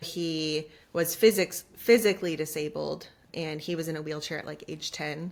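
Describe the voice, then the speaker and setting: A woman's very deep, low voice with vocal fry, fairly even intonation, a moderate pace and big swings in loudness. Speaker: children's podcast host and former preschool teacher. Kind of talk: casual interview chat.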